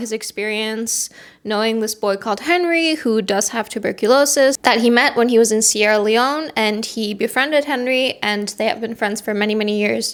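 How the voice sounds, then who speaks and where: An animated tone at a moderate pace with ordinary pitch variation, hardly any pauses and a non-native accent. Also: woman. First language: not English. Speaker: book reviewer. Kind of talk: casual chat.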